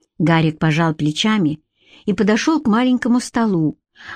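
Lively intonation runs through this plain reading aloud. Behind it, the background stays quiet.

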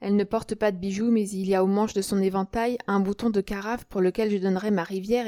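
The reading voice sounds unforced. Its intonation is fairly even.

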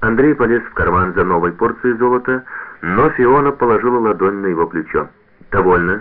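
With a natural voice, a text is read aloud, its pitch varying in an ordinary way.

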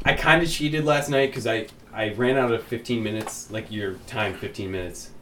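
A man's medium-pitched voice moves at a fairly quick pace with ordinary pitch variation, and noticeable background noise can be heard. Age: 30s. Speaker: podcast co-host. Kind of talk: casual chat.

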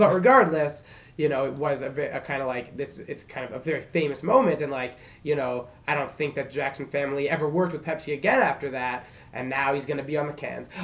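A man talks at a very fast pace in a fairly high pitch. His intonation stays fairly even. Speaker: podcast co-host and warehouse worker. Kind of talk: casual chat.

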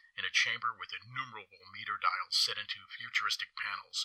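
Fairly quick speech with a dry, close sound and no echo. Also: man. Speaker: author and event founder. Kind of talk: recorded tribute reading.

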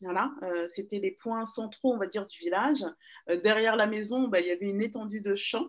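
A woman speaks with lively intonation. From Paris region, France. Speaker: magazine founder and DJ. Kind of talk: interview. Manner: hesitant, many fillers.

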